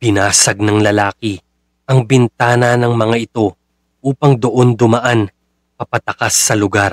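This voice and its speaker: A man's flat, monotone delivery at a fairly slow pace, dry and close with no echo. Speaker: horror story narrator. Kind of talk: true-crime horror narration, read from a script. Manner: grim, hushed and slow, building dread, then a direct, chilling address to the listener.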